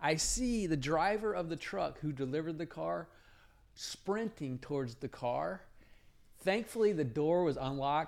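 With an ordinary speaking voice, a man talks at a fairly slow pace. His pitch is fairly high and his intonation lively. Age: 50s. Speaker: podcast co-host, father. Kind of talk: casual chat. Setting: home studio.

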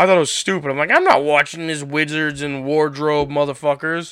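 This man has an unremarkable speaking voice with an American accent. He talks at a fairly quick pace. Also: very clean recording, silent background. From Florida. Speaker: podcast host. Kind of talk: casual chat.

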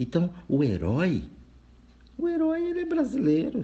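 A man speaks at a fairly slow pace. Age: 40s. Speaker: spiritual reflection speaker. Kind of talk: recorded monologue reflection. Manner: casual, conversational.

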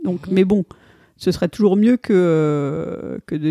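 A woman's medium-pitched, dark, mellow voice at a fairly slow pace, with ordinary pitch variation, a dry, close sound with no echo, and a very clean recording over a silent background. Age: 40s. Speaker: flight attendant. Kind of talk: interview, personal testimony. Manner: halting, frequent repetitions and hesitations.

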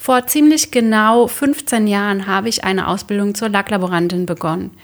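A woman with a normal speaking voice, medium in pitch, at a moderate pace and with ordinary pitch variation. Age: 30s. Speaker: interior colour consultant and podcast host. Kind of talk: scripted podcast monologue.

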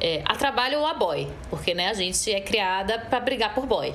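A woman's fairly high voice with very wide pitch swings, a moderate pace, and noticeable background noise. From Brazil, Recife (Pernambuco). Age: 30s. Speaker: actress and singer. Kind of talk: casual interview chat.

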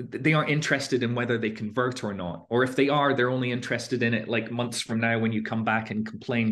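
With a Scottish accent, a man talks fairly quickly at a medium pitch, his intonation fairly even. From Scotland. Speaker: fintech founder, former researcher. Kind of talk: interview. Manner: halting.

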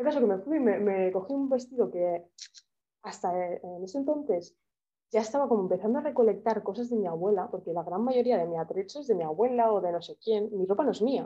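A woman's ordinary speaking voice, fairly high in pitch, with lively intonation at a fairly quick pace. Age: 20s. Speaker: art student and photographer. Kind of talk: casual interview.

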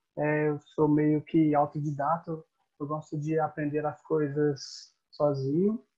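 Speaking at a very slow pace, a man with a Brazilian accent uses a fairly high pitch and a monotone, flat intonation. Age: 20s. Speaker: podcast co-host and personal trainer. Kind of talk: casual chat.

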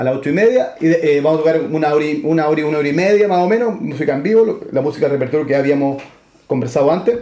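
Audible room echo and noticeable background noise, with ordinary pitch variation. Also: man. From Santiago, Chile. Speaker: band musician. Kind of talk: interview.

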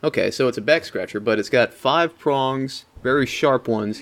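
A man talks in an ordinary speaking voice at a moderate pace. His pitch varies in an ordinary way. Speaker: podcast co-host. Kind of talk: casual chat.

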